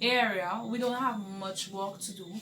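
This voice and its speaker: With audible room echo and noticeable background noise, a woman talks at a very slow pace. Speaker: vlogger, wife of a police officer. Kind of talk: casual vlog chat. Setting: at home alone.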